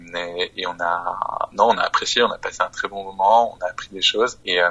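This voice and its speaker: A man at a fairly quick pace. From France, Auvergne. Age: 30s. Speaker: micromobility company manager. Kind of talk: interview.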